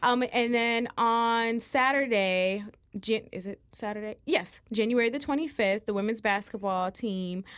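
At a moderate pace, a normal speaking voice with ordinary pitch variation comes through on a very clean recording with a silent background. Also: woman. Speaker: student co-host. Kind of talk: casual chat. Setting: studio. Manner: giggly.

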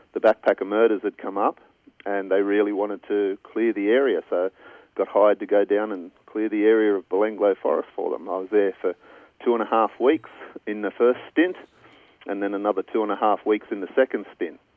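With fairly even intonation, a man talks fairly quickly at a fairly low pitch. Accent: Australian. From Australia. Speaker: cadaver dog handler. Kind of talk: interview.

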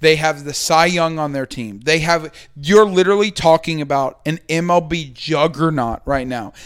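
"An unremarkable speaking voice" fits this man, fairly high-pitched, with ordinary pitch variation. He keeps a moderate pace with hardly any pauses on a very clean recording with a silent background. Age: 20s. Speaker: podcast host. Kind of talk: casual chat.

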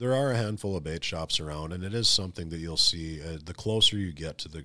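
A man's bright, sharp voice with an Upper Midwest US accent. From North Dakota. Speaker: ice fishing pro staffer. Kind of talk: casual interview.

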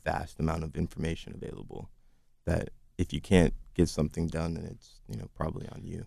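Speaking at a very fast pace with an American accent, a man has a very deep, low pitch, a dark, mellow tone, fairly even intonation and big swings in loudness. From US Northwest. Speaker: baker's son learning the trade. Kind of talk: interview. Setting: studio.

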